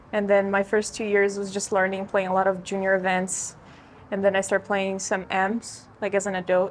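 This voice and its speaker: A woman with a Portuguese accent and monotone, flat intonation. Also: medium pitch for a woman, moderate pace. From Brazil. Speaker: golf coach. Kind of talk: casual chat.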